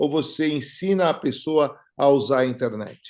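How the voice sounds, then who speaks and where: Speaking in a plain, everyday voice, a man uses a fairly high pitch and lively intonation at a fairly slow pace. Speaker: podcast host. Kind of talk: casual interview chat. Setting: home studio.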